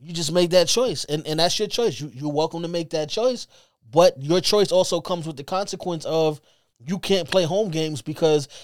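Here a man with a New York accent talks at a moderate pace in a high pitch with ordinary variation. The recording is very clean, with a silent background. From Brooklyn, New York. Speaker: sports podcast co-host. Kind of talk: casual sports talk. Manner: animated; halting, repeats words.

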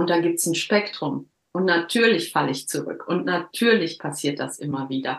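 A woman speaks at a moderate pace with lively intonation, a fairly low pitch and vocal fry. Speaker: coach. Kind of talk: interview, life story. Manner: halting.

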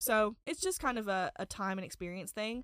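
A woman with a normal speaking voice, fairly high pitch, ordinary pitch variation, and a moderate pace, in a dry, close sound with no echo. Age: 20s. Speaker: criminal defense attorney. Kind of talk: casual chat. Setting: studio.

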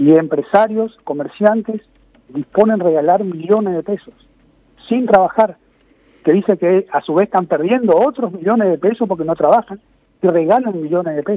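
A high-pitched male voice at a moderate pace, with ordinary pitch variation. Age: 60s. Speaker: market administrator. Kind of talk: interview. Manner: halting.

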